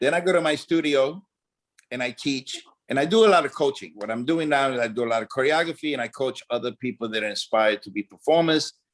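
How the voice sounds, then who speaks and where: A man talks at a very fast pace in a fairly high voice with lively intonation. The sound is dry and close, with no echo. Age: 60s. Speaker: dancer and choreographer. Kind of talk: interview.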